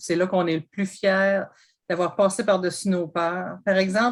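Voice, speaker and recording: A woman with a Quebec accent and a fairly low pitch. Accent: rural Quebec French. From Quebec, Bas-Saint-Laurent. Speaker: sales representative with a PhD, panelist. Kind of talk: panel discussion. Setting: online video event.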